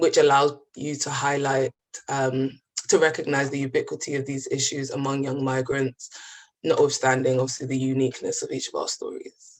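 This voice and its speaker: The speaker talks at a fairly quick pace in a London accent. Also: woman. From East London, England (born in the Gambia). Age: 20s. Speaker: physics graduate sharing lived experience. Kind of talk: personal testimony.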